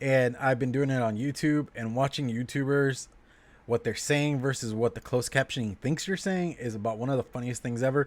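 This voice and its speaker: A man's normal speaking voice, medium in pitch, with ordinary pitch variation and a fairly quick pace. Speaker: vlogger reviewing beer on livestream. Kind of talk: casual livestream chat.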